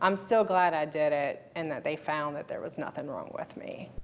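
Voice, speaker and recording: A woman with an unremarkable speaking voice, fairly low pitch and ordinary pitch variation. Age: 40s. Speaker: interviewee sharing health story. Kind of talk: interview testimony.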